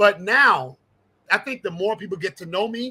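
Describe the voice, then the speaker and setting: In a raised, projected voice with a bright, sharp tone, a man with an American accent speaks at a moderate pace. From South Carolina Lowcountry, Jasper County; Gullah. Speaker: congressional candidate, teacher. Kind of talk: interview. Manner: animated.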